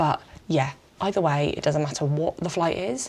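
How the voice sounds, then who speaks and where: Speaking with an English accent, a woman keeps a moderate pace and lively intonation. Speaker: travel vlogger. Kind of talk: vlog narration. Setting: hotel room.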